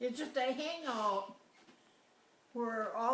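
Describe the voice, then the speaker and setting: A very slow pace with noticeable background noise. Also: woman. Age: 80s+. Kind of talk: interview answer.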